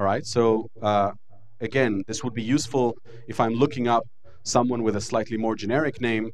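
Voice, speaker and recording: Medium pitch and fairly even intonation from a man. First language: Hebrew. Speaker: lecturer. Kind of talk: lecture.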